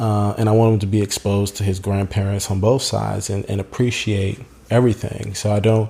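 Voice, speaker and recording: A dark, mellow, somewhat breathy tone with an American accent, fairly quick pace, and monotone, flat intonation. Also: man, fairly low pitch for a man. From US, Haitian American family. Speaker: podcast guest. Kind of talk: casual chat. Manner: halting, many false starts.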